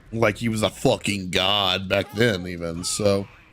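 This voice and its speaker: A man's voice over music in the background. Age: 20s. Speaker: streamer. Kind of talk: casual chat.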